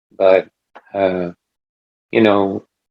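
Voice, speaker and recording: The sound is dry and close, with no echo. A man speaks at a fairly slow pace. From US Midwest (Salina, Kansas). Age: 60s. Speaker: spiritual experiencer sharing his story. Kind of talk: casual interview chat. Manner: halting, with many fillers.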